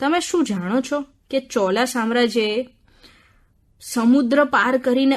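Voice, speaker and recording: An ordinary speaking voice comes through here, its pitch varying in an ordinary way. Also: woman. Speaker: radio book-review presenter. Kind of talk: radio book review narration. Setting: radio studio.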